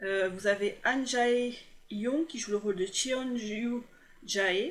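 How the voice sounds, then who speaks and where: Slowly, very slowly, a woman speaks. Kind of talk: voice-over review of TV dramas. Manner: hesitant, stumbling.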